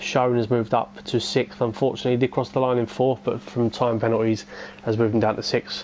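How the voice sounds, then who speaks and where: Over noticeable background noise, a man talks very fast at a medium pitch with fairly even intonation. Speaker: esports race commentator. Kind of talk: live commentary. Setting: live stream. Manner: casual, hesitant with fillers.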